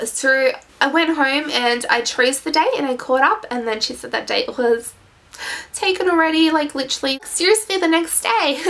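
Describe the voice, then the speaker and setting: Noticeable background noise sits under speech that moves at a moderate pace. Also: woman, high pitch for a woman. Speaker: vlogger. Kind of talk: casual vlog. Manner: hesitant, many fillers.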